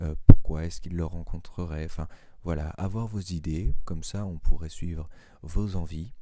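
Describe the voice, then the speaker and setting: Soft-spoken and very deep, a man talks in a dark, mellow tone with monotone, flat intonation. His loudness swings widely. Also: moderate pace. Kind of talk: soft-spoken ASMR introduction talk. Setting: low-quality microphone. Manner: hesitant, many filler sounds.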